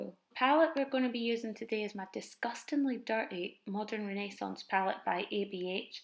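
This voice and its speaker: With a Scottish accent, a woman speaks at a fairly quick pace in a fairly high pitch with ordinary pitch variation. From Edinburgh, Scotland. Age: 20s. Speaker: makeup vlogger. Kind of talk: makeup tutorial voiceover.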